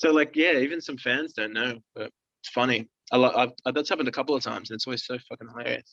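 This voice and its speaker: Very fast and with an Australian accent, a man speaks at a medium pitch in a bright, sharp tone with ordinary pitch variation, and the sound is dry and close with no echo. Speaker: rock band musician. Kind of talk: casual interview chat. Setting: video call. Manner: relaxed, casual.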